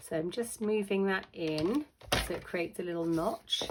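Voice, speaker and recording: Noticeable background noise sits behind a woman with a fairly low pitch, who talks at a moderate pace with ordinary pitch variation. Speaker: papercraft demonstrator. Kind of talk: tutorial.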